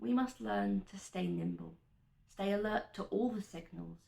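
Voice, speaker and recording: A woman's plain, everyday voice at a moderate pace, with ordinary pitch variation. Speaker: veterinary student. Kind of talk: spoken word poetry performance.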